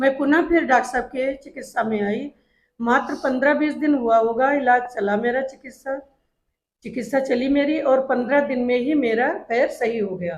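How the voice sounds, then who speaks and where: Her pitch is high, and this woman varies it in an ordinary way. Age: 60s. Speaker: retired school principal, patient. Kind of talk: testimonial.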